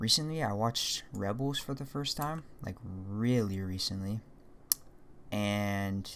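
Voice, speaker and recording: The speech unfolds at a very slow pace with ordinary pitch variation. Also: man, fairly low pitch for a man. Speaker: 3D modeling tutorial creator. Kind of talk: casual tutorial with commentary. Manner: casual, rambling asides.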